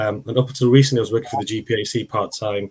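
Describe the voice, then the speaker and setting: Speaking very fast, a man uses a fairly low pitch and a somewhat breathy voice. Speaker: community pharmacist. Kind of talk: panel discussion. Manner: halting, many fillers and repetitions.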